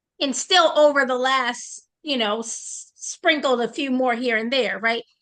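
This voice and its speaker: A woman with an American accent speaks at a high pitch and a fairly slow pace. Her tone is bright and sharp, with ordinary pitch variation. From Boston. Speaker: network marketing trainer. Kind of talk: online training session.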